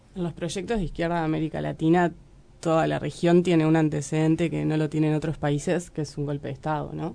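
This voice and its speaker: A woman's very deep, low voice with a dark, mellow tone, monotone and flat, at a fairly quick pace. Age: 20s. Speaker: young party activist. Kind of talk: radio interview.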